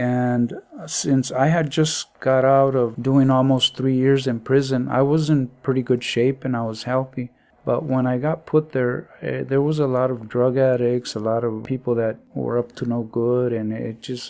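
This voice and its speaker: Speaking at a fairly slow pace with hardly any pauses, a man delivers medium-pitched, monotone, flat intonation in a dark, mellow tone. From East Los Angeles, California. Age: 70s. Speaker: deported military veteran. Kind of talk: personal testimony.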